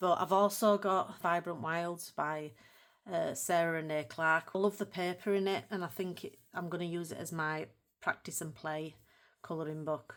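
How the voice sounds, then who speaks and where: Speaking with a Yorkshire accent, a woman uses a fairly low pitch and fairly even intonation. Her pace is moderate. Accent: broad Yorkshire. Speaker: colouring hobby YouTuber. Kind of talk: casual video talk to viewers.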